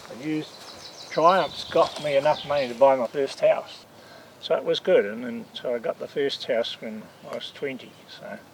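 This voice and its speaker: A man with a New Zealand accent at a moderate pace, big swings in loudness, and noticeable background noise. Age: 60s. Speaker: classic car collector. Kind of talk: casual interview.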